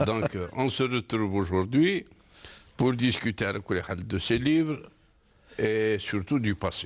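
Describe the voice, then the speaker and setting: In a very clean recording with a silent background, a man speaks very slowly in a medium pitch with ordinary pitch variation and long, frequent pauses. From Algeria, Kabylie (Seddouk). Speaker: independence war veteran, author. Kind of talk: interview.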